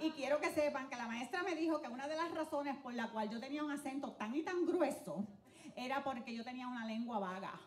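With a high pitch, an animated tone and ordinary pitch variation, a woman speaks at a fairly quick pace over light background noise and audible room echo. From Dominican Republic, raised in Puerto Rico. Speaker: comedian. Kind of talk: stand-up. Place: stage. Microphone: handheld.

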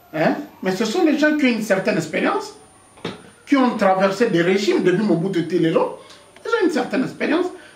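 A man with a high voice talks, his pitch swinging very widely. He leaves long, frequent pauses, and room echo is audible. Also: fairly quick pace. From DR Congo. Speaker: political activist; interviewee. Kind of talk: interview. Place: home room.

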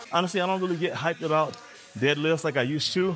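Faint music plays in the background. A man is speaking. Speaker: fitness vlogger. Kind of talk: casual vlog chat. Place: gym.

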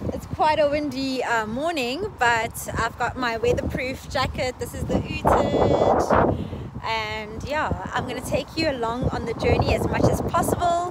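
Over loud background noise, a woman speaks at a fairly slow pace with ordinary pitch variation in a dry sound with no echo. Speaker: travel vlogger. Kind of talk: casual vlog chat. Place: street. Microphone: phone near.

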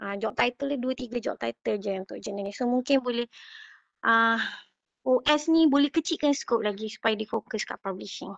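An unremarkable speaking voice at a moderate pace, with ordinary pitch variation and a dry, close sound with no echo against a quiet background. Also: woman, fairly high pitch for a woman. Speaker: participant with industry research experience. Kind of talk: meeting discussion. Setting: video call.

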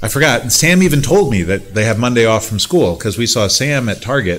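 His delivery moves fairly quickly. The man's pitch rises and falls in an ordinary way. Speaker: pastor. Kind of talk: church announcements and prayer requests. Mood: calm, warm. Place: church. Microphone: podium.

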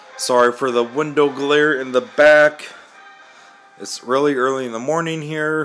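Music plays faintly behind the voice. The speaker is a man. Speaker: gaming channel host. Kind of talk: video game commentary. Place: home room. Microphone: phone near.

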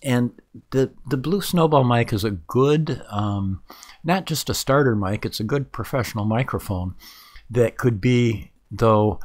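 A man at a fairly slow pace with ordinary pitch variation, over a quiet background. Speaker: reviewer of microphones. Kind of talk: tutorial.

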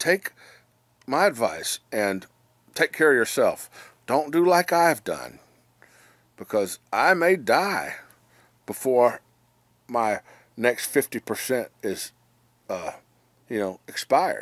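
A man talks at a very slow pace, leaving long, frequent pauses. The sound is dry with no echo, and the background is quiet. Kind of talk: casual vlog chat. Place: home room. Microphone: phone near.

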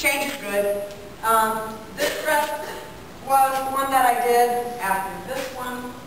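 Strong room echo and light background noise surround a woman speaking very slowly in a fairly high pitch. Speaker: professional clown and clown educator. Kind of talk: storytelling presentation to campers. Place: hall. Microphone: camera far.

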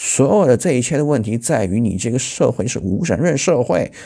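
Vocal fry from a man with lively intonation, over a quiet background. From China. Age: 40s. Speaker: political commentary YouTuber; political commentator. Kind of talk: news commentary monologue; commentary. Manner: halting, many fillers. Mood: critical, opinionated. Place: home room. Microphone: lapel.

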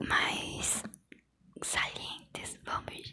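A woman is speaking. She whispers. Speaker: ASMR creator. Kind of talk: ASMR soft talk and mouth sounds. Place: home room. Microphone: lapel.

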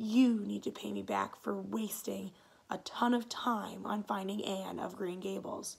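A woman whispers in a raspy, put-on character voice at a moderate pace. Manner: whispering; conspiratorial.

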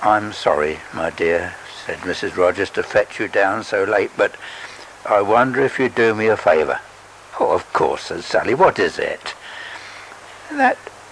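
A man speaks fairly slowly, pausing long and often, with noticeable background noise behind him. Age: 80s. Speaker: storyteller reading his own story. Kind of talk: literary audiobook reading, narrated story with voiced characters. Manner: slow, gentle, sentimental storyteller.

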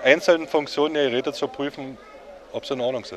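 An unremarkable speaking voice from a man, fairly high in pitch. He talks at a fairly quick pace over light background noise. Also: dry sound with no echo. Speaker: telephone collector. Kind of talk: explaining a hobby in interview. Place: hall. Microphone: handheld.

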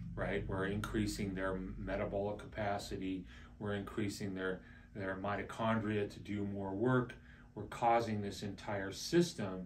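Over light background noise, a man with an unremarkable speaking voice talks at a fairly slow pace and a fairly low pitch. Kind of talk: explanatory talk to camera.

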